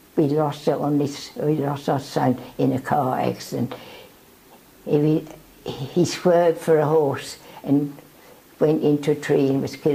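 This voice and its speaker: A woman's very deep, low voice at a moderate pace, fairly even in intonation, broken by long, frequent pauses, over noticeable background noise. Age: 80s+. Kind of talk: interview answer.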